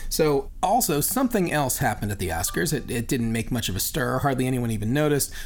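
A man at a very fast pace with hardly any pauses and lively intonation, against noticeable background noise. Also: medium pitch for a man. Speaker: podcast host. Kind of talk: casual chat and interview.

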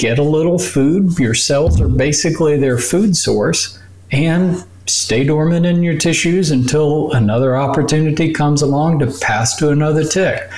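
Speaking at a moderate pace, a man with a fairly high pitch uses lively intonation and very even loudness. Noticeable background noise can be heard. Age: 60s. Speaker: doctor. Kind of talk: interview explaining medical topics.

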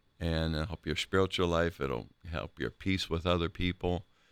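Speaking with an American accent at a moderate pace, a man has a very deep, low pitch, on a very clean recording with a silent background and a dry, close sound with no echo. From Ohio, Akron. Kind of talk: casual chat.

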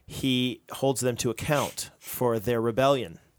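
A man with an American accent talks at a very slow pace in a medium pitch with ordinary pitch variation, on a very clean recording with a silent background. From United States. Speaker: pastor, podcast co-host. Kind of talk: casual chat about theology.

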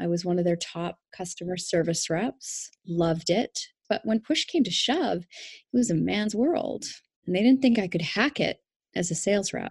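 Somewhat breathy and at a medium pitch, a woman speaks with lively intonation in a dry, close sound with no echo. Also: moderate pace. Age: 40s. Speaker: life coach. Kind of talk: interview.

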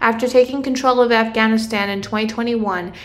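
Fairly high-pitched woman with fairly even intonation over noticeable background noise. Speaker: political affairs correspondent. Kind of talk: news report. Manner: measured, formal reporting.

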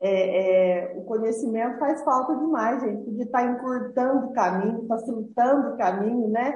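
A woman with a fairly high pitch talks at a moderate pace with hardly any pauses and ordinary pitch variation, and the room echo is audible. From southern Minas Gerais, Brazil. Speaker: entrepreneur, lingerie company founder. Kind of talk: interview, life story.

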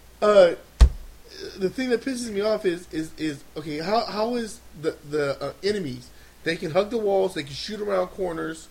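Lively intonation and big swings in loudness mark this moderately paced speech over noticeable background noise. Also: man, high pitch for a man. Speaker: podcast co-host. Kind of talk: casual chat.

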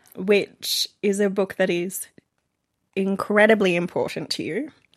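Speaking fairly slowly with an Australian accent, the voice keeps a fairly even intonation and shows vocal fry. The sound is dry and close, with no echo. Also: woman. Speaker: romance reader, podcast guest. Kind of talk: casual chat.

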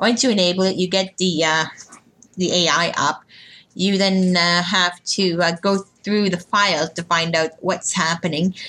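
A woman with an unremarkable speaking voice speaks at a medium pitch and fairly slow pace, with fairly even intonation and very even loudness. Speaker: podcast host. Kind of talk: casual chat.

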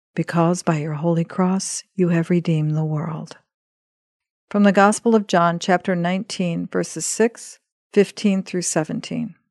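Against a quiet background, a woman speaks fairly slowly in a normal speaking voice, her pitch fairly low with ordinary variation. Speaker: podcast host and scripture reader. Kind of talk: scripted devotional reading of scripture and prayer. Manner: solemn, reverent, measured.

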